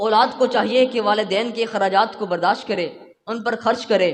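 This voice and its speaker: A man uses a raised, projected voice with ordinary pitch variation. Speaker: Islamic preacher. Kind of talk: Islamic sermon.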